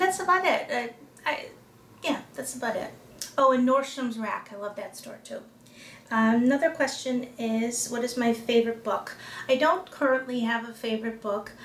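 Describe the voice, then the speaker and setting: Noticeable background noise sits behind a woman speaking at a moderate pace. Her high pitch has ordinary variation, and her loudness swings widely. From Chicago area, US. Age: 40s. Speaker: lifestyle vlogger with lupus. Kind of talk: casual talk to camera. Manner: hesitant, many fillers.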